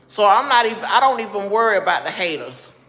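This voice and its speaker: Speaking very fast with a Southern US accent, a woman uses ordinary pitch variation over noticeable background noise. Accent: Southern US (Georgia). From Georgia, US South. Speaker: livestreamer. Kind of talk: casual chat. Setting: live stream. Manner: casual, conversational.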